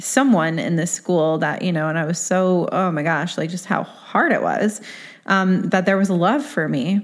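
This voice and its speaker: Here a woman has an ordinary speaking voice, delivered at a moderate pace with ordinary pitch variation. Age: 30s. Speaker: podcast host. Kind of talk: solo podcast monologue. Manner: casual, conversational with fillers.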